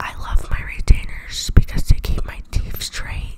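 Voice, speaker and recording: A woman whispers at a fairly slow pace amid noticeable background noise. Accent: American. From Atlanta, Georgia, USA. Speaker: YouTuber and ASMR vlogger. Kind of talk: ASMR trigger video. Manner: playful, quiet, exaggerated.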